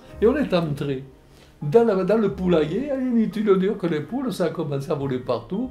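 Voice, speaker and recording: A man speaks at a high pitch and a fairly quick pace, with very wide pitch swings. Faint music plays in the background. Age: 80s+. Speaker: war veteran. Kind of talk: interview answer. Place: home room.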